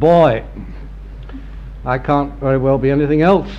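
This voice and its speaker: A man speaks over noticeable background noise. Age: 70s. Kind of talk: after-dinner speech. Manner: dry, laconic wit.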